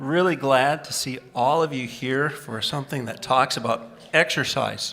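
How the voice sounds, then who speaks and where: A man speaks in an ordinary speaking voice at a medium pitch, moderate pace, and fairly even intonation. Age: 60s. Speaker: pastor. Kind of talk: introduction of a speaker.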